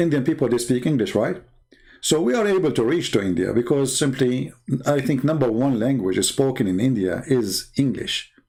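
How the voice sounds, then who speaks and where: A man speaks at a moderate pace with a dark, mellow tone, a medium pitch and lively intonation. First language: not English. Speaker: religious debater and author. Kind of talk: livestream polemic talk. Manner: animated.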